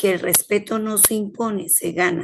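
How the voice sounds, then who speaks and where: A woman at medium pitch with ordinary pitch variation, speaking at a fairly slow pace. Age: 50s. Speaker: healthcare worker, course participant. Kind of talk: class discussion, personal account. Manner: soft-spoken.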